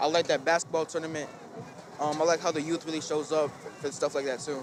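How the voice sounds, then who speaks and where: Against noticeable background noise, a man with fairly high pitch talks very fast in a monotone, flat intonation. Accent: American. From Saint Paul, Minnesota (Rondo area). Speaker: community resident. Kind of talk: street interview.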